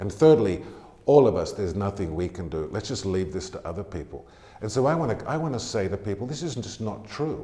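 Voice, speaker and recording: With an American accent, the voice moves very fast, has very wide pitch swings and a dark, mellow tone, and sounds somewhat breathy. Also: man. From Australia (Tamworth, NSW). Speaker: charity CEO. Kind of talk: interview.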